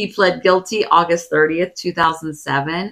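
A woman with a fairly low pitch uses a normal speaking voice, her pitch varying in an ordinary way. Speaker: podcast co-host. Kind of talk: casual chat.

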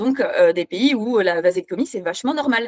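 Recorded dry and close with no echo, a woman talks at a moderate pace with lively intonation. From France. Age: 30s. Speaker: instagram activist. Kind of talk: interview.

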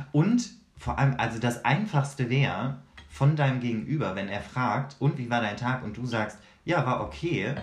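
A man talks at a moderate pace in a somewhat breathy, medium-pitched voice with lively intonation. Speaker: podcast co-host. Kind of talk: casual chat.

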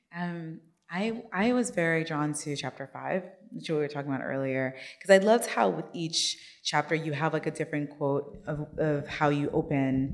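Over noticeable background noise, a woman with a very deep, low voice talks at a moderate pace with ordinary pitch variation. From Nigeria. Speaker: book club founder and interviewer. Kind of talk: onstage book interview.

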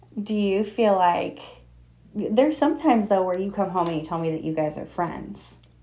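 A woman speaks at a moderate pace in a dark, mellow tone with lively intonation. Audible room echo surrounds her voice. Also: medium pitch for a woman. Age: 20s. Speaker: podcast host and mother. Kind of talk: casual chat.

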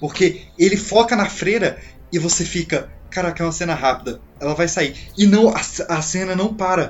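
A man speaks in a high pitch with ordinary pitch variation. His pace is moderate. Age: 20s. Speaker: horror film expert. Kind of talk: casual chat.

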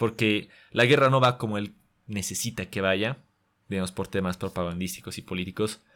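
On a very clean recording with a silent background, a man speaks at a moderate pace with a fairly low pitch and ordinary pitch variation. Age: 20s. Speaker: young filmmaker and actor. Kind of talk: interview. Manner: halting, frequent word repetitions.

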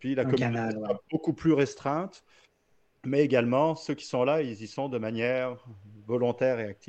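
An unremarkable speaking voice from a man at medium pitch, moving at a fairly quick pace with ordinary pitch variation. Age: 40s. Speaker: ultrarunner. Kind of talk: casual interview.

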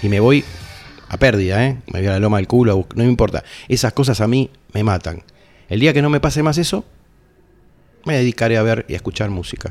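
A man with a medium pitch talks at a very fast pace with lively intonation, broken up by long, frequent pauses. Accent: Rioplatense. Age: 60s. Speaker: heavy metal musician. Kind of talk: casual interview.

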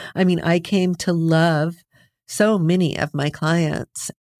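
A woman with an American accent speaks in a plain, everyday voice at a fairly low pitch. The sound is dry and close with no echo. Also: very clean recording, silent background. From US-Mexico borderlands. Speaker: criminal defense lawyer. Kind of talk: interview.

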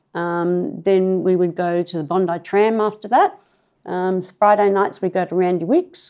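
A woman's medium-pitched voice with an Australian accent, dark and mellow in tone, at a fairly slow pace with fairly even intonation. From Sydney, Australia (Clovelly). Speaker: local resident sharing memories. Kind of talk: oral history interview. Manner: hesitant, many fillers.

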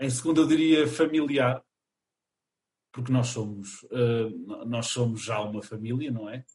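Somewhat breathy and at medium pitch, a man speaks at a fairly slow pace with ordinary pitch variation and long, frequent pauses. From Portugal, Chaves (north). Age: 20s. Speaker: theatre student and college radio member. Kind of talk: casual interview.

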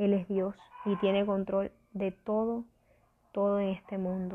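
Here a woman talks. Her voice is pitched in the middle range. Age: 20s. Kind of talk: devotional talk.

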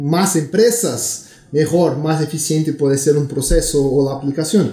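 Fairly slow and with a Brazilian accent, a man speaks in a dark, mellow tone at a fairly high pitch. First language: Portuguese (speaking Spanish). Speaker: tech company executive. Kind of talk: interview.

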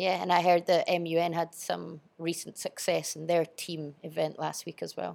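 Speaking with a strong Scottish accent, the voice has vocal fry and monotone, flat intonation. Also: woman, fairly low pitch for a woman, moderate pace. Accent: Scottish, fairly strong. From Edinburgh, Scotland. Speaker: school teacher and sports coach. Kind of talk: casual interview. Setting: studio.

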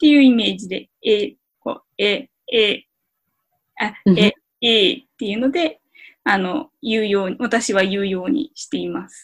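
A woman speaks at a fairly slow pace with a fairly high pitch and lively intonation. Her somewhat breathy voice shows big swings in loudness. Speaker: Hungarian language learner and co-host. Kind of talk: language lesson chat.

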